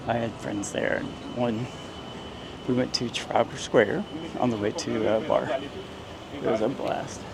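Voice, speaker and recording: Speaking with an American accent and long, frequent pauses, a man keeps his medium-pitched voice fairly even over noticeable background noise. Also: moderate pace. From US Midwest, central Indiana. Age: 60s. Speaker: travel vlogger, retired veteran. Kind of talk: walking tour vlog narration. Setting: outdoors, walking on city streets. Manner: casual, chatty.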